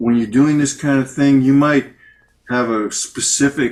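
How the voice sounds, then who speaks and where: This is a male speaker. His voice rises and falls in a typical way. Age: 60s. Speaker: interviewer. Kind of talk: interview. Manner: animated.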